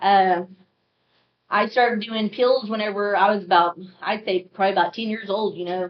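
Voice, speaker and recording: Speaking with an American accent, the voice keeps a moderate pace and fairly even intonation. Long pauses break it up frequently. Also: woman, medium pitch for a woman. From US, Oklahoma. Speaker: recovering addict. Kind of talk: testimony.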